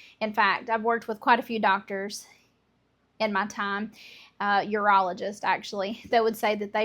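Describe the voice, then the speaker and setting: A woman with a Southern US accent, fairly high-pitched, at a moderate pace, on a very clean recording with a silent background. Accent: Southern American. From Southern United States. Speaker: homemaker. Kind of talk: casual cooking talk to camera.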